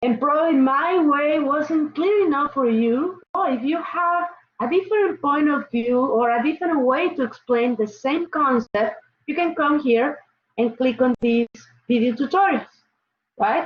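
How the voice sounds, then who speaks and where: This woman speaks with a Mexican accent, a high pitch and lively intonation. Her pace is fairly slow and her loudness stays very even. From Mexico. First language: Spanish. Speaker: college chemistry instructor. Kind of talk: online class lecture. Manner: casual, repetitive with fillers.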